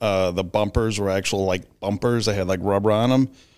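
A man with a plain, everyday voice and an American accent, fairly low in pitch, fairly even in intonation, at a fairly quick pace, on a very clean recording with a silent background. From US Midwest, Illinois. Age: 40s. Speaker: host's father. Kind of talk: casual chat.

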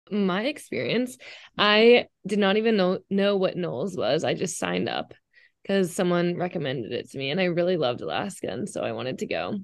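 Her fairly quick pace, vocal fry, medium pitch and lively intonation mark this woman's speech over a quiet background. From Texas, Dallas. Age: 20s. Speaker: college student. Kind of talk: casual chat.

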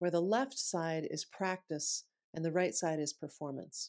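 A woman speaks in an ordinary speaking voice at a fairly low pitch, with ordinary pitch variation and a moderate pace. The recording is very clean, with a silent background. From US Midwest, Sioux Falls, South Dakota. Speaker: author and voice expert. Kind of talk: interview.

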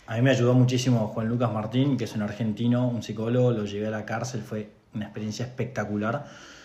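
At a very fast pace and with hardly any pauses, a man talks in a medium, monotone, flat voice through noticeable background noise and audible room echo. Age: 30s. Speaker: podcast co-host. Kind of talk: casual chat.

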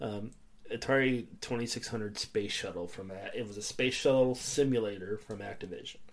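A man talks fairly quickly in a normal speaking voice, medium in pitch, with fairly even intonation but big swings in loudness. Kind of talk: casual chat.

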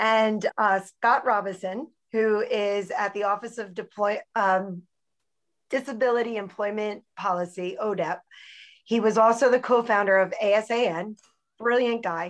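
A woman's unremarkable speaking voice, fairly high and fairly even in intonation, at a fairly slow pace against a quiet background. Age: 40s. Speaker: CEO and social entrepreneur. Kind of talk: interview.

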